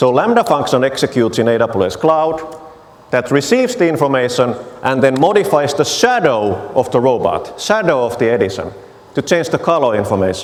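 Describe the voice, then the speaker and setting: A man with a Finnish accent, medium pitch and lively intonation, amid audible room echo and noticeable background noise. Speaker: technology evangelist. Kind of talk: conference talk with live demo.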